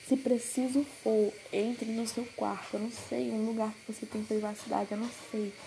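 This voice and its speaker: Noticeable background noise sits behind a woman's voice. She has a fairly high pitch and a monotone, flat intonation. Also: moderate pace. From Brazil, Pará. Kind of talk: devotional message.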